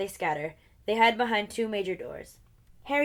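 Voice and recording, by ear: A natural voice reads something out loud. Its intonation rises and falls in a lively way.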